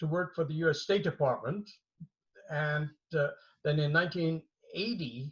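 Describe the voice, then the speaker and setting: A fairly high-pitched man's voice in a German accent, with ordinary pitch variation. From Germany. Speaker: martial arts master. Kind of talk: interview. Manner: halting, many fillers and repetitions.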